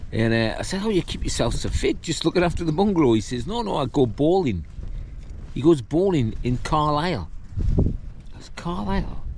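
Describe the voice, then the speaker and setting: With a northern English accent, a man talks at a moderate pace in a fairly high pitch, his pitch swinging very widely. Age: 60s. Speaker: hiking vlogger. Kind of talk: casual vlog monologue. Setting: outdoors on a windy summit. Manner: casual, rambling with fillers.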